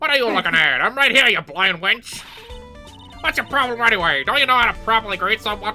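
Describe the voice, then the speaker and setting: A put-on character voice, fairly high-pitched and very fast, with clear music in the background. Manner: haughty, insulting.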